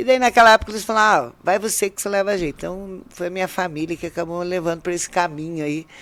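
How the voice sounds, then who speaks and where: Words tumble out very fast, with hardly any pauses between them. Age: 60s. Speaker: mayor. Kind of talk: interview. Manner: loud.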